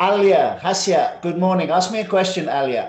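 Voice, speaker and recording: Speaking in an English accent, a man uses a high pitch and fairly even intonation. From southwest London, England. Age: 50s. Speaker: English teacher. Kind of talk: online class. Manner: slow, clear.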